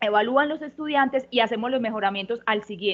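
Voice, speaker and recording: A woman speaks with a Colombian paisa accent. Her pitch is fairly high, with ordinary pitch variation. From Colombia, Antioquia (paisa). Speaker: university professor. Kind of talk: panel discussion. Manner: fast; hesitant, many fillers.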